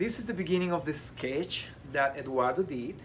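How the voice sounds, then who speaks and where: A man talks with ordinary pitch variation. Room echo can be heard around him. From abroad, immigrant. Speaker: choreographer. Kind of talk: casual chat.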